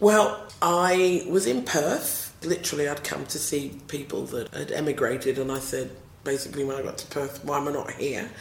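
A woman speaks with a South East London accent at a low pitch, with vocal fry and ordinary pitch variation over faint background noise. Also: moderate pace. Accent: South East London British.

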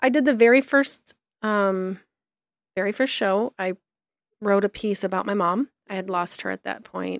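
A woman with an American accent talks at a moderate pace and ordinary pitch variation in a plain, everyday voice. The recording is very clean, with a silent background. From US Midwest, southeastern Michigan small town. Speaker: blogger and publisher. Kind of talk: casual interview chat.

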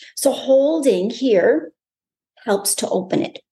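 A woman's warm, dark, mellow voice with very wide pitch swings. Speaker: podcast host and meditation guide. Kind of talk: guided meditation. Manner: instructional, warm, and inviting.

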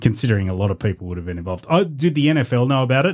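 On a very clean recording with a silent background, a somewhat breathy man with an Australian accent speaks at a very fast pace with very wide pitch swings. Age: 40s. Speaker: podcast co-host. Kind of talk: casual chat.

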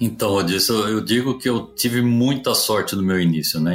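A man with a slight interior São Paulo accent, medium pitch, ordinary pitch variation and a moderate pace. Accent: slight caipira. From interior of São Paulo state, Brazil (Presidente Prudente). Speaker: supply chain executive. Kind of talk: interview.

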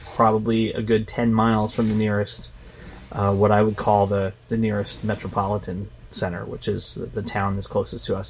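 A man speaks in a fairly low pitch at a moderate pace. His intonation is monotone and flat, with noticeable background noise behind him. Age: 50s. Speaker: fitness podcast co-host. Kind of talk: casual chat.

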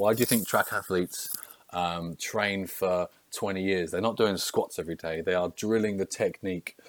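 A man speaks fairly quickly in an English accent with fairly even intonation. The sound is dry and close, with no echo. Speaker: strength and conditioning coach. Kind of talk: solo podcast monologue.

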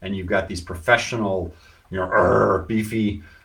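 Audible room echo hangs around this man's voice as he keeps a moderate pace and fairly even intonation. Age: 50s. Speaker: business consultant and podcast host. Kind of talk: casual live-stream talk. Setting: social media live video.

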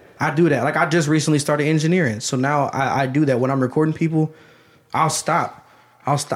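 Monotone and flat, a man's fairly high voice comes with an American accent. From Ohio, US (Canton). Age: 20s. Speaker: rapper. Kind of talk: casual chat.

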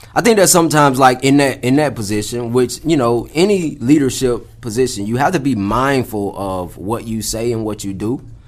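Lively in intonation, a man with a medium-pitched voice speaks at a moderate pace with hardly any pauses. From US South, Atlanta (Clayton County, Georgia). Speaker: podcast co-host. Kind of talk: casual chat.

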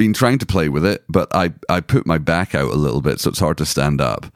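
With a Scottish accent, a man talks in very wide pitch swings and vocal fry, the sound dry and close with no echo. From Scotland. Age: 40s. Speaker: podcast co-host. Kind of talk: casual chat. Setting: home recording room.

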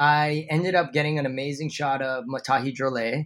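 With a Hawaiian accent, a man speaks at a fairly quick pace. His pitch is fairly high and his intonation fairly even. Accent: Hawaiian American. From Hawaii, Honolulu. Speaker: surf photographer. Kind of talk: interview.

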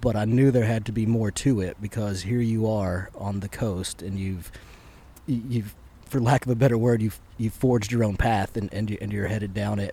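With an American accent, a man speaks at a moderate pace in a fairly low, somewhat breathy voice with a dark, mellow tone and fairly even intonation. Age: 30s. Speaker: podcast host and shop owner. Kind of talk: casual chat. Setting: on a boat.

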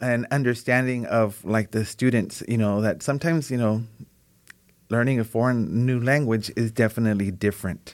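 A man with an American accent, medium in pitch and slightly mellow in tone, at a moderate pace with ordinary pitch variation.

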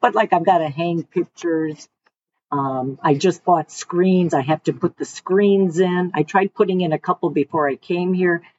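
A woman with a Detroit accent speaks at a moderate pace and fairly low pitch, with ordinary pitch variation. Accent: Inland North US (Detroit). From Michigan (Detroit area). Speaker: retiree, customer. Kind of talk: casual interview.

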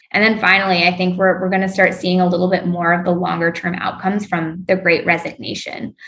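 A woman talks at a very fast pace with hardly any pauses and a flat, monotone delivery. Noticeable background noise runs under her voice. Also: medium pitch for a woman. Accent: American. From US South, North Carolina (Raleigh-Durham). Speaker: venture capital investor. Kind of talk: interview.

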